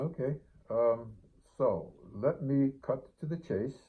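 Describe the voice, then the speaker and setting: Delivery is very slow. The intonation is lively. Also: man. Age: 70s. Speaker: hay fever sufferer sharing experience. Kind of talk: personal testimony to camera. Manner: hesitant, with fillers.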